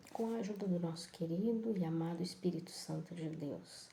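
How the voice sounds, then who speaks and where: Soft-spoken and somewhat breathy, a woman with a fairly low pitch and a dark, mellow tone speaks with lively intonation amid audible room echo. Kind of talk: bible reflection live.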